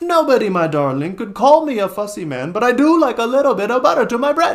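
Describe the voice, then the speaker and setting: Putting on a whiny character voice, a man talks very fast at an extremely high pitch with very wide pitch swings. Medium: read story. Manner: whiny, self-pitying.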